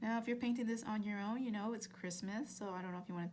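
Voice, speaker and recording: A woman with a fairly high, somewhat breathy voice speaks at a very fast pace. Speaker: art instructor. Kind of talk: tutorial. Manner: casual, with many fillers and restarts; fairly quick.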